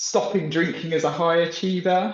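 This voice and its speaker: This man has a high-pitched voice and speaks with a British accent. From UK. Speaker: podcast host and coach. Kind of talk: podcast interview. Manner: halting, repeats words.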